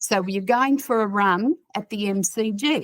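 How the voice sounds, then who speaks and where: A woman with an Australian accent and a fairly high pitch. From Australia, New South Wales. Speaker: psychotherapist and author. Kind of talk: casual chat. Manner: animated.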